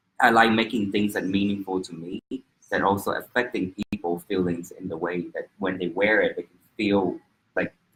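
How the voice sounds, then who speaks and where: A fairly low-pitched man with a Vietnamese accent, fairly even intonation and a moderate pace. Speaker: fashion designer. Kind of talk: interview. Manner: halting.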